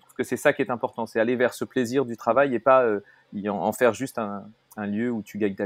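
Fairly quick delivery from a man with medium pitch and fairly even intonation. The sound is dry and close, with no echo. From Paris, France. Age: 50s. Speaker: entrepreneur, platform co-founder. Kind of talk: casual interview conversation. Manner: halting, many hesitations.

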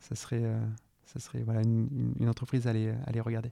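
The speech runs at a fairly quick pace with a dry, close sound and no echo. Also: man. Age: 30s. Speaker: startup co-founder. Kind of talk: podcast interview. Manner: hesitant, many fillers and repetitions.

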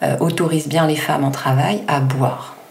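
Noticeable background noise and audible room echo surround a woman speaking at a very deep, low pitch. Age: 40s. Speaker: midwife. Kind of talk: expert explanation in interview.

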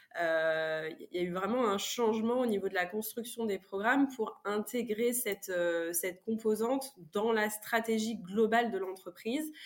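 Noticeable background noise runs under a woman speaking at a fairly slow pace. Her pitch is fairly high, with ordinary pitch variation. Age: 30s. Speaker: corporate training manager. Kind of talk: podcast interview. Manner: hesitant, many fillers and repetitions.

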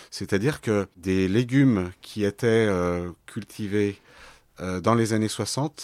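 On a very clean recording with a silent background, a man with a fairly low voice speaks very slowly in a dry, close sound with no echo. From Lyon, France. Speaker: organic vegetable farmer. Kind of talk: interview. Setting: on his farm.

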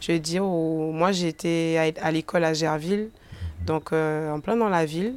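The woman's voice sits at a fairly low pitch. She speaks at a fairly slow pace with ordinary pitch variation. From Guadeloupe, countryside. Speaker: rapper. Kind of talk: interview. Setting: bookstore cultural space. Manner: hesitant, many fillers.

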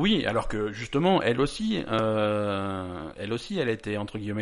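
The man's pitch is fairly low and varies in an ordinary way, in an unremarkable speaking voice. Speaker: podcast host. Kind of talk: casual chat. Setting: studio.

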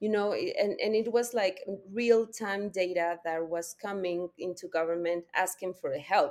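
Speaking with a Spanish accent, a woman uses a medium pitch. She talks at a fairly slow pace with fairly even intonation. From Mexico. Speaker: data policy consultant. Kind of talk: interview.

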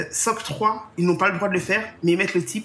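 A woman talks at a fairly quick pace, at a medium pitch with ordinary pitch variation. She has an ordinary speaking voice. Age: 40s. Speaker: travel planner. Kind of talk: interview.

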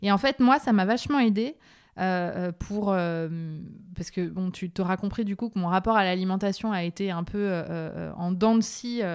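A woman's plain, everyday voice at medium pitch, fairly slow pace and ordinary pitch variation, on a very clean recording with a silent background. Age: 30s. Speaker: leadership coach and training company founder. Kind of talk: interview.

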